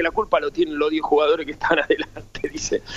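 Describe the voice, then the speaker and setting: Words pour out of a man at a very fast pace. The pitch rises and falls very widely. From Buenos Aires, Argentina. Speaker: former footballer. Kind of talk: interview. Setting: phone call. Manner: halting; cheerful.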